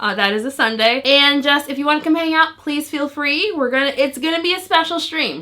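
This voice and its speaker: A woman's high, raised, projected voice with an animated tone and lively intonation. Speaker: nail polish YouTuber. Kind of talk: product review video intro.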